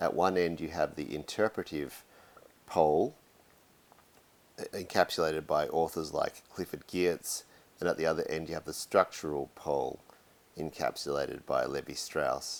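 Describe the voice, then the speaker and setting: There is vocal fry in this man's very deep, low voice as he talks at a moderate pace with fairly even intonation and long, frequent pauses. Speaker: university anthropology lecturer. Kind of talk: academic lecture.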